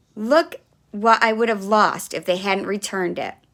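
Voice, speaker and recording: Putting on a character voice, a woman sounds raspy at a medium pitch and a moderate pace. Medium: read story. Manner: gentle, patient.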